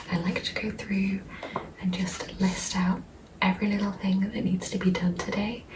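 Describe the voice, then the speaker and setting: A soft-spoken woman with a medium pitch talks fairly slowly in a monotone, flat intonation, with audible room echo and noticeable background noise. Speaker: lifestyle vlogger. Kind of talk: casual vlog talk to camera. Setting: at home in flat. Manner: soft-spoken, talking quietly.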